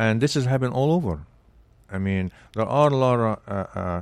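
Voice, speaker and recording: A man with an Arabic accent, medium in pitch, with ordinary pitch variation and a dry, close sound free of echo. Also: very clean recording, silent background. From Egypt. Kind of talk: interview conversation. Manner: hesitant, with frequent fillers.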